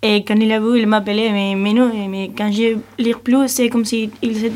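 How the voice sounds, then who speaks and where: At a moderate pace, a woman speaks with monotone, flat intonation over noticeable background noise. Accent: Spanish. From Spain, Cáceres (Extremadura). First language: Spanish (speaking French). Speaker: European volunteer. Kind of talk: radio interview. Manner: halting.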